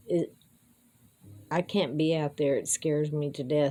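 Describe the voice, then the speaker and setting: A woman speaks in a very deep, low pitch with a dark, mellow tone and monotone, flat intonation. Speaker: amateur musician and vlogger. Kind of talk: casual monologue.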